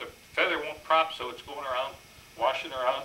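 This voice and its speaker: Fairly high-pitched male voice with an Upper Midwest accent, at a fairly quick pace amid noticeable background noise and audible room echo. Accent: Upper Midwest American. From Minnesota (Minneapolis). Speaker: war veteran. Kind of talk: presentation. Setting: stage with audience. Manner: fast; halting.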